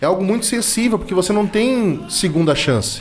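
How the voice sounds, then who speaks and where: A man at a fairly quick pace, over noticeable background noise. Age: 40s. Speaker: former municipal environment secretary. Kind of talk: radio interview.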